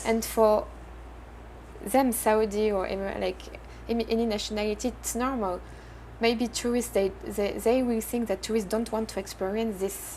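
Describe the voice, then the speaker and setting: A woman with a French accent, fairly high-pitched and monotone, at a moderate pace with long, frequent pauses. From France. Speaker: entrepreneur. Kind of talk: interview. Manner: halting.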